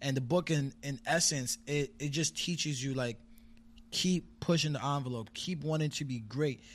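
A man talks at a fairly high pitch, somewhat breathy. His pitch varies in an ordinary way. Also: moderate pace, very clean recording, silent background. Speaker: rapper and poet. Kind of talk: casual interview chat.

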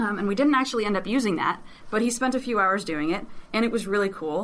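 Very fast speech from a woman at medium pitch, bright and sharp in tone, with ordinary pitch variation and audible room echo. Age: 20s. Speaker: government tech worker. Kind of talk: interview. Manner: halting, repeats words.

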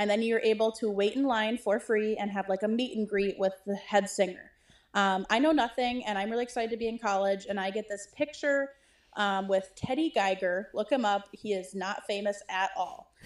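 A woman with a fairly high pitch and an ordinary speaking voice talks at a moderate pace. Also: ordinary pitch variation. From Wisconsin. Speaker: listener leaving voicemail. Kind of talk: voicemail story.

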